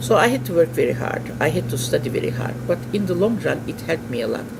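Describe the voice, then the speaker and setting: A man talks at a moderate pace with very wide pitch swings. Noticeable background noise runs underneath. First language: non-English. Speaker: interviewee, immigrant. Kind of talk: interview.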